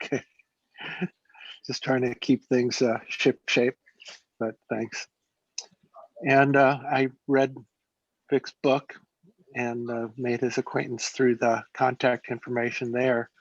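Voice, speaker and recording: In a dry, close sound with no echo, a man of medium pitch speaks at a very slow pace in a monotone, flat intonation, with long, frequent pauses. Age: 60s. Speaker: trader and speculator. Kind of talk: interview. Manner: halting, many fillers.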